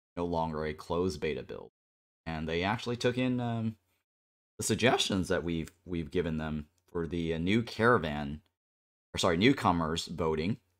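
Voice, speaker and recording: On a very clean recording with a silent background, a man with a very deep, low pitch speaks in a relaxed tone at a moderate pace, with ordinary pitch variation and long, frequent pauses. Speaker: gaming streamer. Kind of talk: casual chat. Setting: live stream. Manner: relaxed, many fillers.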